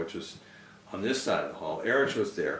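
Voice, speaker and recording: Noticeable background noise runs through the clip. There is audible room echo as well. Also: man. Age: 60s. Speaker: spiritual follower, musician. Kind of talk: storytelling interview. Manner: halting, with many fillers.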